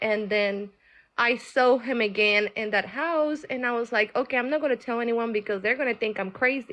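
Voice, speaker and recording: A woman with a Colombian accent and a high pitch speaks with ordinary pitch variation over a quiet background. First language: Spanish. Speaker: caller on live tarot stream. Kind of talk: personal testimony. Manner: halting.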